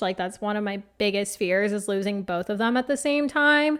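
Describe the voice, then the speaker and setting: A woman with an American accent at a medium pitch and moderate pace, in a very clean recording with a silent background. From Phoenix, Arizona. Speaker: podcast host and life coach. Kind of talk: casual solo podcast chat.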